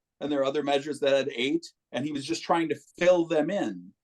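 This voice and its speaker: In an unremarkable speaking voice, a man talks at a fairly high pitch with lively intonation, and the sound is dry and close with no echo. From Minneapolis, Minnesota. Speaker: musician. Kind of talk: casual chat.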